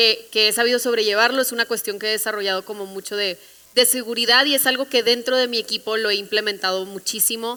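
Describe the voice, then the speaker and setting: In a northern Mexican accent, a woman talks with a fairly high pitch and fairly even intonation. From northern Mexico, Monterrey. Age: 20s. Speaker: creative agency CEO, panelist. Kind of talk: panel discussion.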